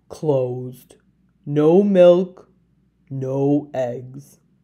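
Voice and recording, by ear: In a put-on character voice, a woman speaks at a very slow pace and extremely low pitch, dark and mellow in tone, with ordinary pitch variation.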